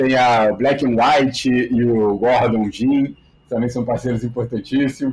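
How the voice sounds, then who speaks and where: At a very slow pace, a man speaks with very even loudness, medium pitch and fairly even intonation. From Rio de Janeiro, Brazil. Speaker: sports media executive. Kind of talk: interview.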